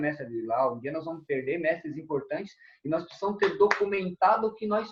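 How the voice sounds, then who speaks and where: This man's voice sits at a high pitch. He speaks at a fairly quick pace. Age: 50s. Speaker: kung fu master. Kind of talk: interview.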